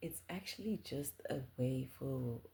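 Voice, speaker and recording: A woman whispering, with vocal fry. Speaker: spiritual content creator. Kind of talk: casual monologue. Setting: home at night. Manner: hesitant, many fillers.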